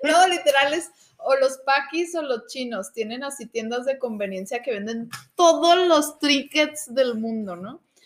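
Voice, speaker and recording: A woman with a Mexican accent speaks at a fairly slow pace. Her high voice carries lively intonation. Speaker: architect. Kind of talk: casual chat.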